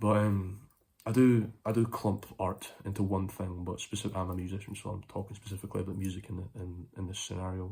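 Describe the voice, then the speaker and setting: Speaking at a fairly quick pace, a man with a fairly low pitch sounds somewhat breathy, his intonation monotone and flat. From Scotland. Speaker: vlogger and musician. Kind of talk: casual monologue to phone camera. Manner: rambling, hesitant with fillers.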